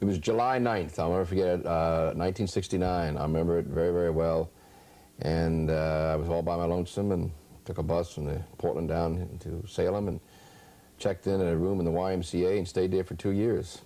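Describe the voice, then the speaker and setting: With a slight West Virginia accent, a man speaks at a fairly quick pace in a very deep, low, dark and mellow voice with fairly even intonation. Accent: slight West Virginia lilt. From US South (West Virginia, Appalachia). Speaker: state legislator. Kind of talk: interview.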